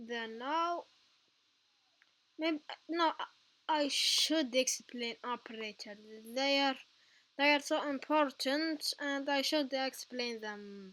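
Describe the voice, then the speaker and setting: With a non-native accent, a woman talks very slowly in a high, bright, sharp voice, with ordinary pitch variation and long, frequent pauses. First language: not English. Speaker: tutorial youtuber. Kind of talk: tutorial. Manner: halting.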